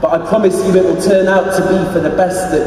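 The voice has a British accent. Strong room echo and light background noise surround it. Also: man. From England. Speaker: spoken word poet. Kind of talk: poetry reading at live comedy literary night. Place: stage. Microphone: camera far.

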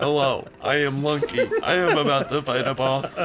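A man's put-on, robotic character voice, fairly high in pitch, at a moderate pace over clear background noise. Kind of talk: monotone, mechanical.

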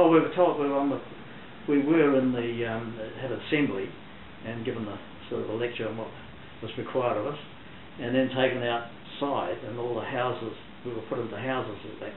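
The voice moves at a fairly quick pace with fairly even intonation, with audible room echo and light background noise. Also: man. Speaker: interviewee. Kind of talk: interview answer. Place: home room.

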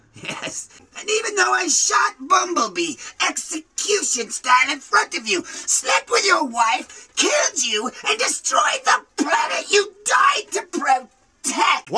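A man speaks in a put-on character voice, pitched extremely high. His pace is fairly slow. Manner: breezy, casual, falsely apologetic.

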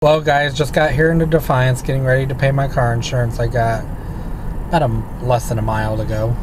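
With fairly even intonation, the man speaks very fast as noticeable background noise plays. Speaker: driver vlogger. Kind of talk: casual vlog chat. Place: car. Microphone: phone near.

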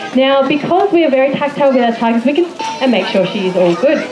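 Over crowd noise in the background, a woman talks at a very fast pace. Her high voice moves through very wide pitch swings. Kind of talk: commentary. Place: open country.

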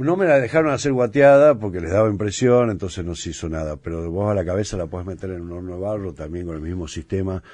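Very deep and low, a man's voice carries a dark, mellow tone at a very fast pace. The background is quiet. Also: lively intonation, hardly any pauses. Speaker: chef and restaurant owner. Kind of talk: casual interview.

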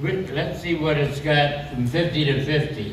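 Very slowly and at a fairly high pitch, a man speaks over noticeable background noise. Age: 80s+. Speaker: racing cam maker. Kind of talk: interview answer.

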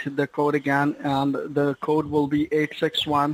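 At a moderate pace, a man talks in a monotone, flat intonation at a fairly high pitch, the sound dry with no echo. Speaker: tech support scammer; caller. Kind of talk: phone call. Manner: formal. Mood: persuasive, insistent.

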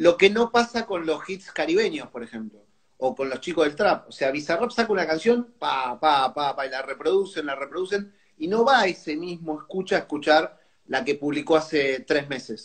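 With a Rioplatense accent, a man speaks at a fairly high pitch and with lively intonation over a quiet background. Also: moderate pace. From Argentina. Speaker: music show host. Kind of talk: casual interview. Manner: animated. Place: home room. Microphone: earbuds.

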